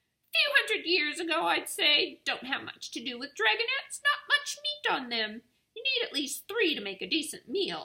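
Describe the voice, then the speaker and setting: Using a put-on character voice, a woman speaks at an extremely high, squeaky pitch. Her pace is moderate. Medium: read story. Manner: grumbling, snappish.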